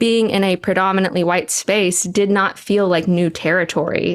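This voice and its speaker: At a moderate pace, a woman with an American accent talks at a medium pitch with fairly even intonation. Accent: suppressed Southern. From Texas, US South. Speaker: church abuse survivor and trauma support writer. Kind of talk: podcast interview.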